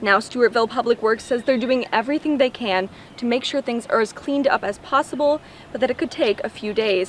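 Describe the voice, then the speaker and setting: A woman speaks at a high pitch and a fairly quick pace, with ordinary pitch variation. Noticeable background noise runs underneath. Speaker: TV news reporter. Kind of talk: live TV news report.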